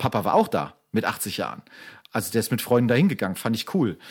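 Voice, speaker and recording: On a very clean recording with a silent background, a man talks at a very fast pace with very wide pitch swings. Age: 40s. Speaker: podcast co-host, photographer. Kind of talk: casual chat.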